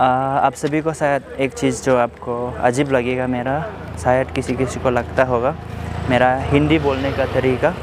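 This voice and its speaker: A man with an Arunachal Pradesh accent talks at a medium pitch with fairly even intonation over noticeable background noise. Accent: Nyishi-accented Hindi, drawn-out speech. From Arunachal Pradesh, India. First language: Nyishi (speaking Hindi). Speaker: vlogger. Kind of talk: vlog, walking tour. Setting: outdoors, hospital grounds. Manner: halting, with fillers.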